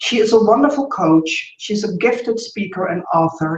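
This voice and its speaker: A woman with a Dutch accent, medium pitch and an enthusiastic tone. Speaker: business coach and interview host. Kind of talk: interview introduction.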